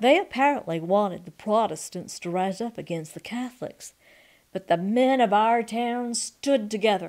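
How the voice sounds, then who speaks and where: The woman has an ordinary speaking voice with a fairly high pitch. Her pace is fairly slow. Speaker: reader. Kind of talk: memoir reading.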